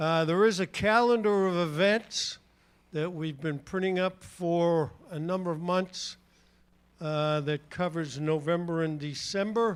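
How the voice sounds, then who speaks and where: At a fairly slow pace, a man with a high pitch and a slight New England accent talks with ordinary pitch variation on a very clean recording with a silent background. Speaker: church announcer. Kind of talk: church announcements. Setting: church.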